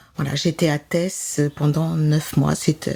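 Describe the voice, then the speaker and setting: Very deep, low female voice at a very slow pace, fairly even in intonation, with noticeable background noise. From France, Grenoble region. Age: 70s. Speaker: retired nurse and medium. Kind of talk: interview. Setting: in her chalet. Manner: hesitant, many fillers.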